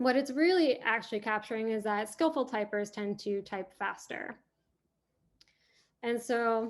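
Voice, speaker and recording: Against a quiet background, a woman talks with fairly high pitch. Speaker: pain neuroscience researcher. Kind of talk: academic research talk. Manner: fast.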